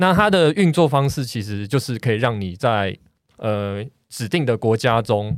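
A plain, everyday voice from a man, medium in pitch, with lively intonation at a fairly slow pace, on a very clean recording with a silent background. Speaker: architect, podcast guest. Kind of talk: casual chat.

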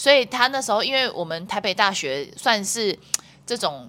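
Her tone bright and sharp, a woman speaks at medium pitch and a moderate pace with lively intonation. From Taiwan. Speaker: wakeboard athlete and international judge. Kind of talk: casual interview.

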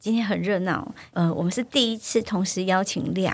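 A woman at a moderate pace with ordinary pitch variation and vocal fry. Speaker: podcast host, gender equality educator. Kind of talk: casual chat.

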